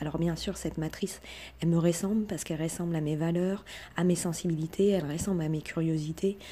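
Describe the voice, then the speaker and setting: At a fairly quick pace, a woman speaks in a monotone, flat way with a dark, mellow tone. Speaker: self-taught researcher and online video creator. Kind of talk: monologue, personal video talk. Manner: hesitant, many fillers; humble, earnest.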